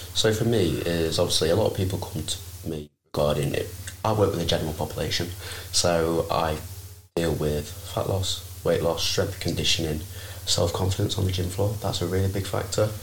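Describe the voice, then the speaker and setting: Somewhat breathy and very deep in pitch, a man talks at a fairly quick pace with fairly even intonation amid audible room echo. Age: 20s. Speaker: personal trainer. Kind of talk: casual chat.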